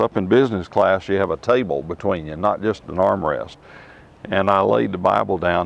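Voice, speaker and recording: A man's very deep, low voice with vocal fry, fairly quick in pace and ordinary in pitch variation. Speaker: Bible teacher. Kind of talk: personal testimony and Bible teaching to camera. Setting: outdoors. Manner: hesitant, conversational.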